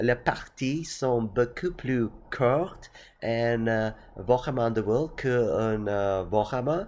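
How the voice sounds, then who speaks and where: Speaking very slowly, a man with a non-native accent keeps to a medium pitch. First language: not French (speaking French). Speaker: tabletop gaming youtuber. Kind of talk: casual explainer. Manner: halting, many hesitations.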